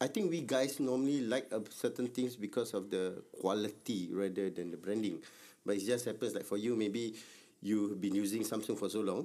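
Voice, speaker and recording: A man speaks in a fairly low voice with a dark, mellow tone. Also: ordinary pitch variation, fairly quick pace. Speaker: podcast co-host. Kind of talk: casual chat.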